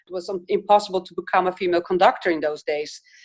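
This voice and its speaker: The speaker talks with a Dutch accent. The background is quiet. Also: woman. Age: 60s. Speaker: film director. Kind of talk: interview. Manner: hesitant, many fillers.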